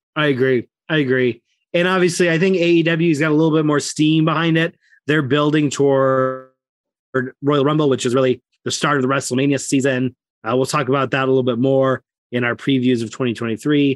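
A man with a plain, everyday voice speaks at a fairly high pitch with fairly even intonation and very even loudness, in a dry, close sound with no echo. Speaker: wrestling podcast co-host. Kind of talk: casual chat.

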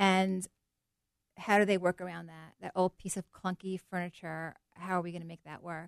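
A woman with a normal speaking voice talks at a moderate pace, her pitch fairly low, in a dry, close recording with no echo. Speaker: interior designer. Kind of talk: radio interview. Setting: radio studio.

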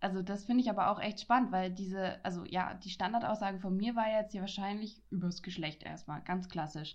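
Using an unremarkable speaking voice, a woman talks fairly quickly at a medium pitch with fairly even intonation and hardly any pauses. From Franconia, Germany. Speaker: podcaster. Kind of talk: casual chat.

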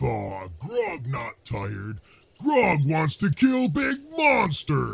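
Putting on a character voice, a man talks at a very slow pace and a fairly high pitch. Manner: simple, speaks in third person, eager.

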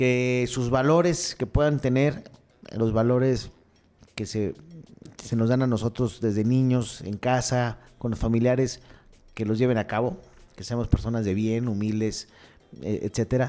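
Long, frequent pauses break up a man's fairly slow speech. His medium-pitched voice has a dark, mellow tone and ordinary pitch variation. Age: 40s. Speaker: mayor. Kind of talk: interview. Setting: studio. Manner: halting.

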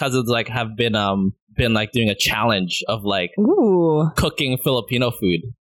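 Here a man speaks at a moderate pace and a medium pitch with ordinary pitch variation. The sound is dry and close, without echo. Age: 20s. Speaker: photographer. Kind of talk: casual chat.

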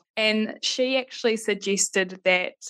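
Someone with a New Zealand accent talks with fairly even intonation. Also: woman. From Christchurch, New Zealand. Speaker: life coach and NLP practitioner. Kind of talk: interview conversation.

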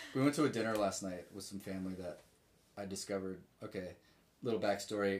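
Speaking very fast with an American accent, a man keeps a fairly low pitch and fairly even intonation. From Richmond, Virginia. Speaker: musician. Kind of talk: casual chat. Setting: home office.

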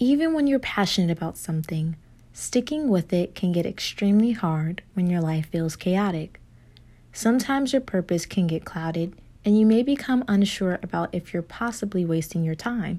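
In a very clean recording with a silent background, a woman speaks at a medium pitch in a dark, mellow, somewhat breathy voice with a calm, soothing tone. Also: lively intonation. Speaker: meditation guide. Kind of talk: guided meditation. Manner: slow, calm, soothing pacing with pauses for breaths; gentle, warm, encouraging tone.

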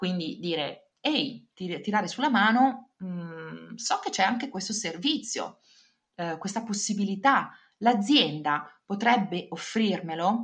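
Speaking very slowly, a woman sounds somewhat breathy, with lively intonation. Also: medium pitch for a woman. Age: 40s. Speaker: career consultant. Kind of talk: interview.

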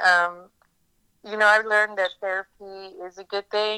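Speaking at a moderate pace in a Pittsburgh accent, a woman has a medium-pitched, bright, sharp tone. Her intonation is monotone and flat, and the sound is dry and close with no echo. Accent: American, Pittsburgh area. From US, western Pennsylvania (near Pittsburgh). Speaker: caregiver sharing family mental illness story. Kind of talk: personal testimony interview. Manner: hesitant, many fillers.

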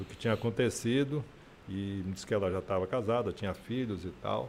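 A man speaks in a normal speaking voice at a moderate pace, his intonation fairly even. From Feira de Santana, Bahia, Brazil. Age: 60s. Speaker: politician and radio presenter. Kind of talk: interview. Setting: studio.

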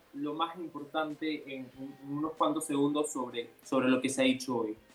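Music plays behind a man speaking at a fairly high pitch. His delivery is fairly slow, with monotone, flat intonation. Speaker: youth panel moderator. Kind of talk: radio panel discussion. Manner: halting, repeats words.

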